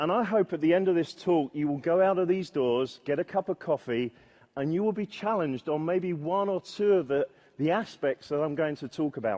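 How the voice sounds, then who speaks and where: A man talks at a moderate pace in a high voice with a dark, mellow tone and lively intonation. The sound is dry and close, without echo. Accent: British. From Britain. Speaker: software testing conference speaker. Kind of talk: conference talk. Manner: hesitant, with filler words.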